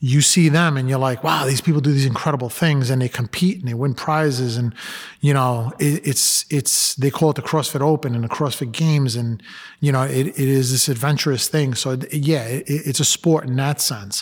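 This man has a New York accent and a fairly high pitch. He talks at a moderate pace with fairly even intonation. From Brooklyn, New York. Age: 50s. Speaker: police lieutenant and former helicopter pilot. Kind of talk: interview. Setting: studio.

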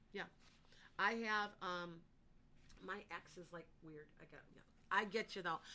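This woman has a bright, sharp tone at a medium pitch, with fairly even intonation and big swings in loudness. She talks at a fairly slow pace with long, frequent pauses. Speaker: psychic. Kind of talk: live psychic readings for callers. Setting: online live stream with chat comments.

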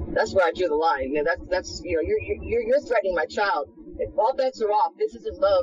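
At a moderate pace, a woman talks while noticeable background noise carries on behind her. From Florida, US. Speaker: homeless woman telling her story. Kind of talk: testimony. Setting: outdoors.

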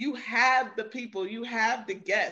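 In a New York accent, the voice has a bright, sharp tone and ordinary pitch variation. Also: woman. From New York (Queens). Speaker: author and writing coach. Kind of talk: casual interview.

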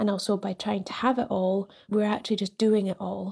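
A woman speaks at a medium pitch in a flat monotone, her tone dark and mellow and somewhat breathy. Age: 40s. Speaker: listener. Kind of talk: voice note.

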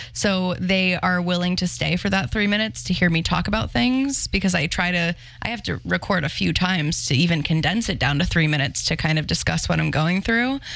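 A woman talks at a fairly quick pace in a plain, everyday voice, with hardly any pauses. Her pitch is fairly low, her intonation lively and her loudness very even. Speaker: paranormal content creator. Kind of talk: casual chat. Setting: studio.

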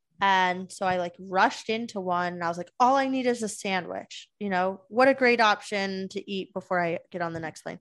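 A woman speaks in a plain, everyday voice at a medium pitch and moderate pace, with ordinary pitch variation against a quiet background. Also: hardly any pauses. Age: 20s. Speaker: podcast co-host. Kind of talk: casual chat.

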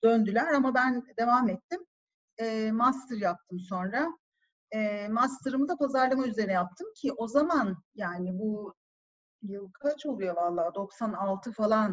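A woman's somewhat breathy, fairly high voice at a very slow pace, with lively intonation. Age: 40s. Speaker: marketing executive. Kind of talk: casual chat. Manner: animated.

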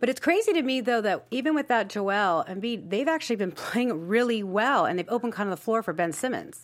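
This woman has an ordinary speaking voice, fairly high in pitch, with lively intonation. She talks at a fairly quick pace with hardly any pauses. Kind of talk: casual panel chat. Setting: studio.

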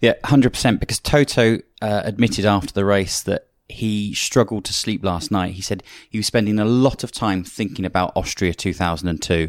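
In a very clean recording with a silent background, a man with a fairly low pitch talks at a fairly quick pace with ordinary pitch variation. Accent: British. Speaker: motorsport commentator and analyst. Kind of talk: casual panel discussion.

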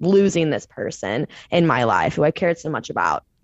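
With an American accent, a woman speaks in a fairly low voice with vocal fry and ordinary pitch variation. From Missouri, St. Louis. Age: 20s. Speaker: personal trainer and meditation coach. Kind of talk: casual chat.

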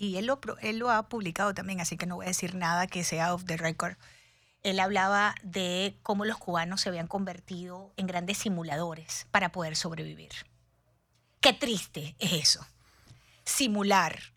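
Bright and sharp in tone, a woman speaks at a medium pitch and a moderate pace with fairly even intonation. The recording is very clean, with a silent background. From Venezuela, Cuban parents. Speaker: radio host. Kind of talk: live radio talk show. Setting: radio studio.

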